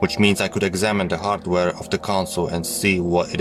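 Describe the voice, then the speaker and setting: Music in the background beneath a man's very deep, low voice. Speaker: story narrator. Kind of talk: horror story reading. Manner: natural speaking voice.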